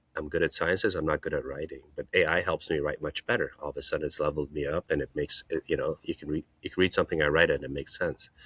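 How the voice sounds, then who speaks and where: A man talks at a very fast pace with hardly any pauses, in a dry, close sound with no echo. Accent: non-native. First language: not English. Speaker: hand surgeon. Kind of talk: casual chat.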